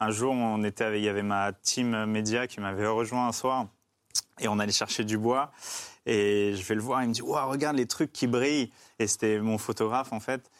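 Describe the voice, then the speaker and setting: An ordinary speaking voice with fairly even intonation, on a very clean recording with a silent background. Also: man, medium pitch for a man, moderate pace. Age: 30s. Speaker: endurance cyclist and adventurer. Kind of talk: casual chat.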